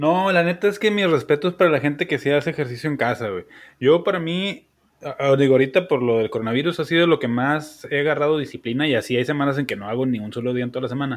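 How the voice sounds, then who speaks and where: Talking at a very fast pace, the man has a fairly high pitch. His pitch varies in an ordinary way. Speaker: podcast co-host. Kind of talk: casual chat.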